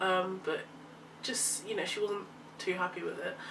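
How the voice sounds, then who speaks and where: In a London accent, a woman speaks at a medium pitch with audible room echo. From London, England. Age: young. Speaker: university student. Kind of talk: casual chat.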